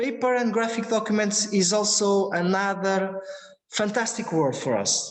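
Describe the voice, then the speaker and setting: With audible room echo, a man talks at a fairly slow pace, his loudness very even. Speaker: researcher presenting imaging technology. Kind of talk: lecture Q&A answer. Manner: halting, many repetitions.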